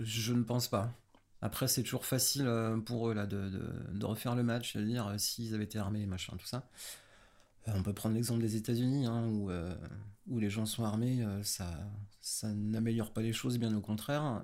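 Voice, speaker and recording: A man talks at a moderate pace with fairly even intonation. His pauses are long and frequent. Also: medium pitch for a man. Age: 30s. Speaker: stage manager. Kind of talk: casual chat. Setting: in person at host's home.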